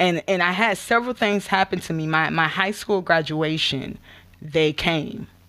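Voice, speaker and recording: Delivered with a Florida accent, the bright, sharp voice shows ordinary pitch variation on a very clean recording with a silent background. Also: woman. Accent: US Southern (Florida). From Gainesville/Alachua, Florida. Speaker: spoken word artist and nonprofit outreach director. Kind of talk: testimony.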